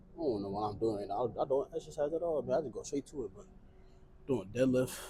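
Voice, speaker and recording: A man's somewhat breathy voice with a dark, mellow tone, very fast, with lively intonation and big swings in loudness. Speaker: fitness vlogger. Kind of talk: casual vlog while working out. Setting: gym. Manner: talking low. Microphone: small portable mic, unsure if it picks up quiet speech.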